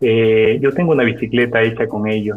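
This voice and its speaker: A man with an unremarkable speaking voice talks at a moderate pace and medium pitch with fairly even intonation. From coastal Ecuador. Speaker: technology company director. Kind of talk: interview.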